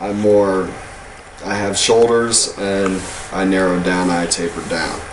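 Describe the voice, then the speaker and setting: A man with an American accent, fairly low-pitched, fairly slow and monotone with flat intonation, over noticeable background noise and audible room echo. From Texas. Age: 30s. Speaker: video blogger. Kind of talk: personal vlog. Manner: casual, with hesitations.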